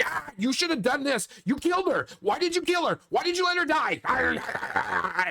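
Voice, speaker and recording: A man performs a put-on character voice at an extremely high pitch. He keeps a moderate pace. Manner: accusing, nonstop nagging.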